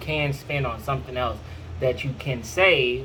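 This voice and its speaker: Fairly high male voice at a fairly slow pace, amid noticeable background noise and audible room echo. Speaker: personal finance vlogger. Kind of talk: casual advice monologue. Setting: at home, to camera.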